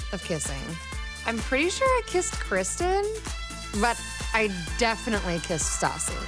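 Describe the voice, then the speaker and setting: A woman talks while clear music is heard behind her. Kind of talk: confessional interview narration. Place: studio.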